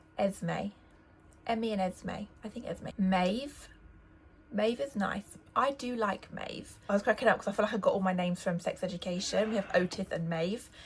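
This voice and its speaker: A woman speaks with an English accent at medium pitch, sounding somewhat breathy. Her pace is moderate, and her pitch varies in an ordinary way. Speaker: lifestyle vlogger. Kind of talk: casual vlog talk.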